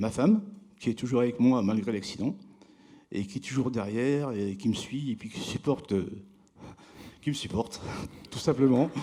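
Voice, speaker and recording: A man talks at a medium pitch. He leaves long, frequent pauses. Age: 60s. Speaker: award-winning craftsman. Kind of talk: award ceremony interview. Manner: halting.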